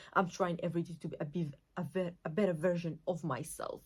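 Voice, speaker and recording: A somewhat breathy woman's voice with a fairly low pitch. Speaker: lifestyle vlogger. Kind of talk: casual monologue. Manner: fast; energetic.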